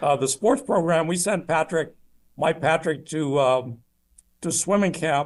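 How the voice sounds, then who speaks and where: He is a man with a fairly high pitch and an unremarkable speaking voice. He talks at a fairly slow pace with ordinary pitch variation. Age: 60s. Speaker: retired marine officer. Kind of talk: interview.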